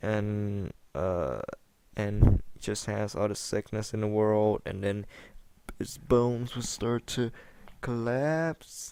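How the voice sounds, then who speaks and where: Very slow speech from a man with a non-native accent, fairly low pitch, ordinary pitch variation and long, frequent pauses, in a very clean recording with a silent background. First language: not English. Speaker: gaming commentator. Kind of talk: gameplay commentary chat. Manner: halting, many repetitions and fillers.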